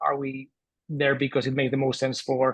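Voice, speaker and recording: With a Spanish accent, a man talks at a moderate pace in a fairly high pitch for a man. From Spain. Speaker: author and entrepreneur. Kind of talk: interview.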